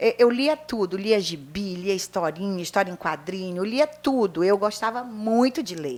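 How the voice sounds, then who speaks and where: A woman at a medium pitch talks at a moderate pace with hardly any pauses and very wide pitch swings. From northern Brazil, Pará (Vigia). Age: 60s. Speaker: retired teacher and writer. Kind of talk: interview.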